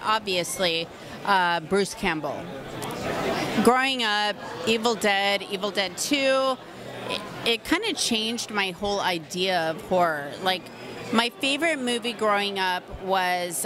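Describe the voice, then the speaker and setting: With crowd noise in the background, a woman speaks at a fairly slow pace with long, frequent pauses, ordinary pitch variation, and a dry sound with no echo. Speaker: interviewee. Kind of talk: interview answer. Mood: warm, laughing, enthusiastic. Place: hall. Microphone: handheld.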